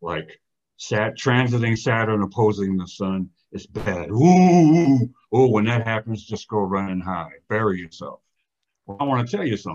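This man has a normal speaking voice, fairly low in pitch, with lively intonation at a moderate pace. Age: 60s. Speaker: astrologer. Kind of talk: casual interview.

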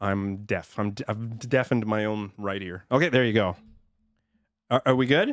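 A quiet man at a moderate pace, medium pitch, with ordinary pitch variation. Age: 30s. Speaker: podcast guest. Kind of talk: casual chat.

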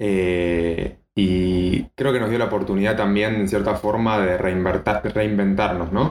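With an Argentine accent, a man speaks at a moderate pace in a fairly low pitch, his intonation fairly even. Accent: Argentine Spanish (Rioplatense). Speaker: biotechnologist and nutrition coach. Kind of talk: casual chat.

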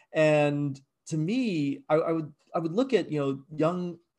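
Against a quiet background, a man has a normal speaking voice, fairly high in pitch, with ordinary pitch variation. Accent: American. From Virginia, US, raised partly abroad. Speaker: game design professor and game studio founder. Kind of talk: interview.

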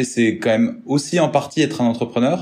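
This is a man with a plain, everyday voice. He talks at a moderate pace and a medium pitch. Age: 30s. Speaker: business development manager at a mobility company. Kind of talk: interview.

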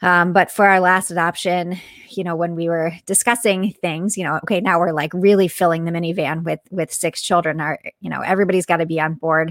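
A woman's ordinary speaking voice, fairly low in pitch, at a fairly quick pace with fairly even intonation, in a dry, close sound with no echo on a very clean recording with a silent background. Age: 40s. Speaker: author and motivational speaker. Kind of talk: casual interview.

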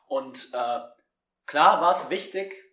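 Audible room echo surrounds a man speaking at a very slow pace. His pitch is fairly high. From Germany. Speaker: student radio presenter. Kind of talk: spoken word poetry reading; casual chat. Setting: remote recording, not in studio.

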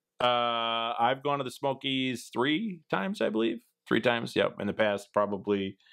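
A man with a Midwestern US accent speaks at a fairly slow pace and medium pitch. His loudness stays very even. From Wisconsin, US Midwest. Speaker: outdoors YouTuber. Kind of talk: casual interview chat. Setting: home, remote recording.

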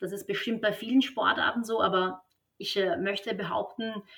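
A woman with a normal speaking voice, fairly even intonation and a fairly slow pace. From Austria, Vienna. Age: 30s. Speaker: tennis coach. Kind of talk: podcast interview.

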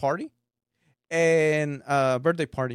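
In a dry, close sound with no echo, a man with a fairly high pitch speaks at a fairly slow pace. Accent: Mexican. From Mexico. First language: Spanish. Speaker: stand-up comedian. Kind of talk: casual chat. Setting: studio. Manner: deadpan.

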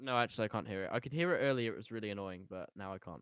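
A man with a British accent speaks at a medium pitch. His pitch varies in an ordinary way. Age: 18. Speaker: podcast host and musician. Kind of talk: casual chat.

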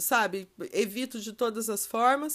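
This woman has an ordinary speaking voice, fairly high in pitch, with ordinary pitch variation. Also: very clean recording, silent background. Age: 40s. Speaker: podcast host. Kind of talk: solo podcast monologue. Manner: casual, chatty.

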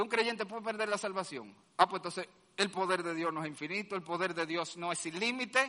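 With a raised, projected voice, a man speaks in a bright, sharp, animated tone at a high pitch and fairly quick pace, with ordinary pitch variation. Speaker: pastor. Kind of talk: sermon. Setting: church. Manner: loud.

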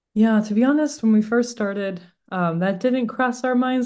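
Speaking with an American accent, the voice moves at a fairly quick pace with ordinary pitch variation. The background is quiet. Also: woman. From US, Boston. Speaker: tech startup founder and CEO. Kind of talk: interview.

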